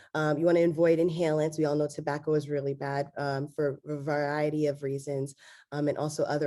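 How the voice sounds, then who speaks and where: Against a quiet background, a woman talks fairly quickly in a very deep, low, dark and mellow voice with monotone, flat intonation. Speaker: laryngology physician presenting. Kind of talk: lecture. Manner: hesitant, many fillers.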